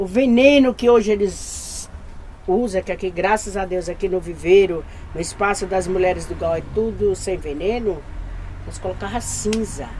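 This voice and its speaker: Noticeable background noise sits behind a woman speaking at a moderate pace and medium pitch with ordinary pitch variation. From Bahia, Brazil. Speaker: community gardener. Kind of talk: documentary interview, guiding a tour.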